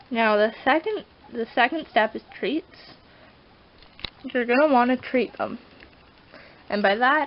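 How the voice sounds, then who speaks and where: Behind this woman there is noticeable background noise. She speaks at a fairly slow pace in a high voice with ordinary pitch variation. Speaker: pet vlogger. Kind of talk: tutorial. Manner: casual, rambling with self-corrections.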